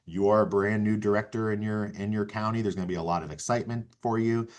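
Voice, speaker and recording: A man speaks at a very fast pace with a fairly low pitch. The background is quiet. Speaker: county emergency management director. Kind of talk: webinar presentation.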